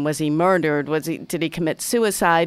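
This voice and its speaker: A woman with an American accent has an ordinary speaking voice, fairly low in pitch with ordinary pitch variation. The recording is very clean, with a silent background. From Massachusetts, US. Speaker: author. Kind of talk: casual chat. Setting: studio.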